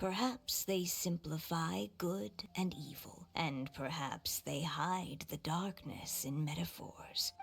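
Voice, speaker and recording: A put-on character voice speaks in a solemn tone. The pace is fairly slow. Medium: video game. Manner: solemn, measured.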